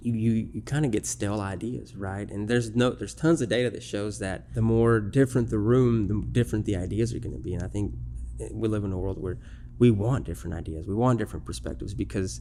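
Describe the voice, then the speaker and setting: A man's very fast, fairly low voice with vocal fry, very wide pitch swings and a dark, mellow tone. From Mexico, raised in central Arkansas from early childhood. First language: Spanish. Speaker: bank executive. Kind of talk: interview conversation. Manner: animated storytelling.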